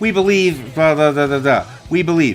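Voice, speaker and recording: A man talks very fast over music in the background. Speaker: nonprofit consultant and vlogger. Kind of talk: casual vlog tutorial. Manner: loud; animated.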